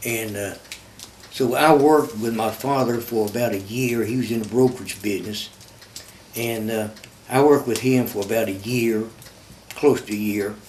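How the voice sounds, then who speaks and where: A medium-pitched man with a Kentucky accent at a moderate pace, fairly even intonation and long, frequent pauses, amid noticeable background noise and audible room echo. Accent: southern US (Kentucky). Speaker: war veteran. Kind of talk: interview testimony. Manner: halting, many fillers and repeats.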